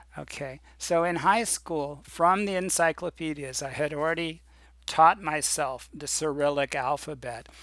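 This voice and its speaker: At a fairly slow pace, a man with an American accent talks at a fairly high pitch with ordinary pitch variation and big swings in loudness. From US Midwest, Indiana. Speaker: English teacher. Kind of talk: self-introduction video. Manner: halting, with fillers.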